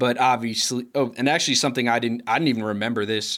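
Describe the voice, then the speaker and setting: A man with an American accent speaks at a medium pitch in a bright, sharp tone with monotone, flat intonation, on a very clean recording with a silent background. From Chicago, US Midwest. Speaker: podcast producer and co-host. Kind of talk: casual chat.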